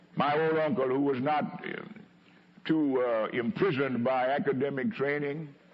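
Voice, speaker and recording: Noticeable background noise sits behind the voice. A man speaks at a fairly high pitch with ordinary pitch variation. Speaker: preacher. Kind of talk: sermon delivered to a congregation. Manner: eloquent, slow, impassioned.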